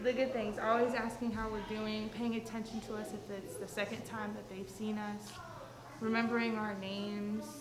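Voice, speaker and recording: A woman's fairly high, monotone, flat voice at a moderate pace, with audible room echo and noticeable background noise. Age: 20s. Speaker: outreach program client. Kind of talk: testimony.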